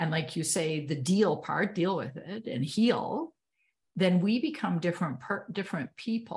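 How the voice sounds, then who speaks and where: A woman's somewhat breathy voice at a medium pitch, fairly slow in pace, with ordinary pitch variation. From Canada. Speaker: podcast host. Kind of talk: interview. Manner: animated.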